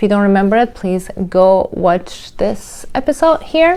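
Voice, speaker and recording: The speech comes at a fairly slow pace with lively intonation. It carries a Turkish accent. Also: woman. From Turkey. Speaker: mindset coach. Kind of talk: casual commentary on a reality show.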